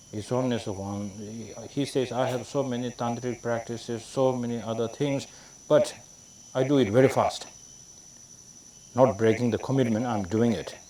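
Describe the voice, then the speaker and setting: With a Tibetan accent, a man speaks at a medium pitch with long, frequent pauses. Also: fairly even intonation, moderate pace. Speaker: Tibetan Buddhist lama teacher. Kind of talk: dharma teaching. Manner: halting, many fillers.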